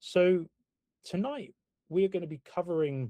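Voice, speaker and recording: With a British accent, a man speaks in a dark, mellow tone that is somewhat breathy. The recording is dry and close, with no echo. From UK. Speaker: property investment company founder. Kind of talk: webinar presentation.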